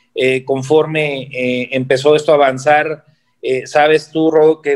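Speaking at a fairly slow pace, a man with a plain, everyday voice talks at a fairly high pitch. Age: 20s. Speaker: bodybuilder and fitness coach. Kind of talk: interview.

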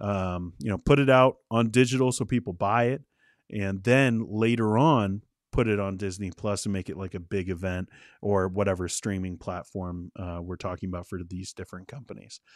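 A man's fairly low voice at a moderate pace, with ordinary pitch variation and big swings in loudness, in a dry, close sound with no echo on a very clean recording against a silent background. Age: 30s. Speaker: movie news podcast host. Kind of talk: live-streamed solo commentary. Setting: live stream. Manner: casual, animated.

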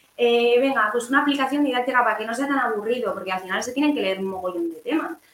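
The speech comes at a very fast pace with lively intonation, over noticeable background noise. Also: woman, high pitch for a woman. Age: 20s. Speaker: primary school teacher. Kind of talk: interview.

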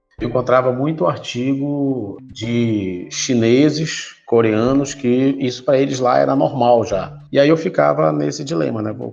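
At a fairly slow pace and a medium pitch, a man speaks with ordinary pitch variation and hardly any pauses, with audible room echo. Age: 40s. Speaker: production engineer and professor. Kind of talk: interview.

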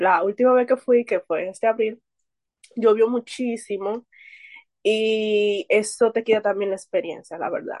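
In an unremarkable speaking voice, a woman speaks fairly slowly at a fairly high pitch with fairly even intonation, the sound dry and close with no echo. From Dominican Republic, Santo Domingo. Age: 20s. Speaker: book reader and painter. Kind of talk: casual chat.

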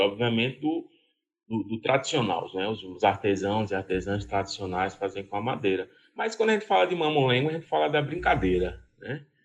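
Over a quiet background, a man with an ordinary speaking voice speaks at medium pitch and a moderate pace with lively intonation. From Pernambuco sertão, Brazil. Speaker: cultural association president, puppetry museum head. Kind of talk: interview conversation.

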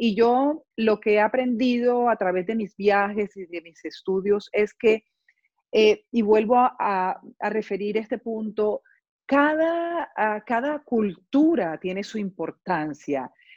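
Against a dry, close sound with no echo, a woman speaks very slowly with lively intonation and big swings in loudness. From Colombia, Barranquilla. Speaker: dancer and arts foundation founder. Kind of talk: interview.

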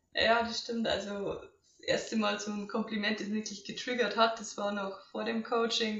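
A woman speaks in a fairly high pitch at a moderate pace. Audible room echo is present. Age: 20s. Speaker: coaching client. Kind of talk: testimony.

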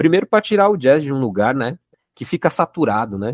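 The recording is very clean with a silent background and a dry, close sound with no echo. A man speaks at a moderate pace with very wide pitch swings. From São Paulo, south zone periphery. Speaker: jazz musician and musicology student. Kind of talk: podcast interview discussion.

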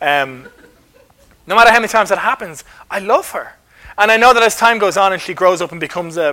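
This man talks at a very fast pace in a raised, projected voice with ordinary pitch variation. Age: 30s. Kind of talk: talk at a church carol service.

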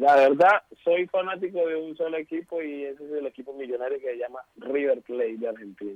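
A man's fairly high, fairly quick delivery in a plain, everyday voice, with ordinary pitch variation. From Colombia. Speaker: footballer. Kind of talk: interview.

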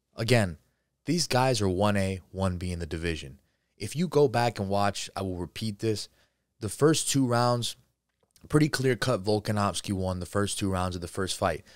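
With an American accent, a man speaks at a moderate pace, fairly low in pitch with lively intonation. He has a plain, everyday voice, in a very clean recording with a silent background. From New Jersey. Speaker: MMA podcast host. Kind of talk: solo sports commentary show. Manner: casual, filler-heavy.

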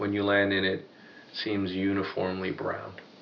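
A man is speaking. His voice sits at a fairly low pitch. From New York (Sudanese heritage). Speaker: engineer. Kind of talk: casual interview.

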